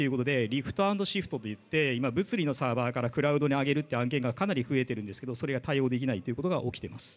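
Lively in intonation, a man's fairly high voice carries through. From Japan. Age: 40s. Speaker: IT division manager; conference speaker. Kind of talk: lightning talk. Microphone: handheld.

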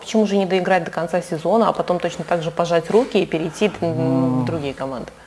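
Talking at a very fast pace with hardly any pauses, a woman uses a fairly low pitch and ordinary pitch variation over light background noise. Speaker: sports journalist. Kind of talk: interview. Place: studio.

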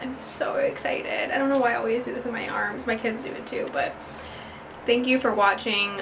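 Moderate-paced speech from a woman over noticeable background noise. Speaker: mom vlogger. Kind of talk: casual vlog chat. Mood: excited, emotional. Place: bathroom. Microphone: phone near.

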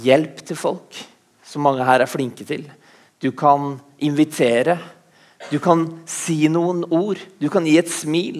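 A man at a very slow pace, fairly even in intonation, with long, frequent pauses and a quiet background. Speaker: preacher. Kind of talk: sermon. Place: church. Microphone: headset.

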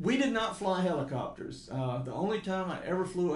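A man is speaking. Audible room echo is heard around his voice. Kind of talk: interview answer. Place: meeting room.

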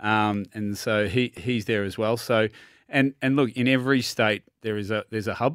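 A man with an Australian accent, dry sound without echo, quiet background. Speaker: tennis centre manager and coach. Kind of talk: casual sports chat. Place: studio. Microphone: studio mic.

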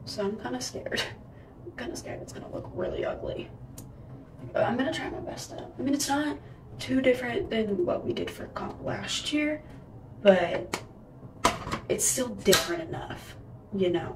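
Noticeable background noise fills the recording. Through it, a woman talks with long, frequent pauses. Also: moderate pace. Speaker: cheerleader vlogger. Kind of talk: casual vlog chat. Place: home room. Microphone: phone near.

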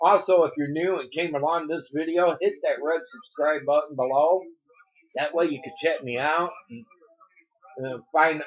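Against a quiet background, a man talks at a moderate pace. He leaves long, frequent pauses. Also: ordinary pitch variation. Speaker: vlogger. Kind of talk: casual vlog chat. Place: home room. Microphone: phone near.

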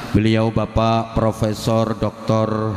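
Audible room echo surrounds a man's voice. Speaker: preacher. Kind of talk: sermon. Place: hall. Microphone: handheld.

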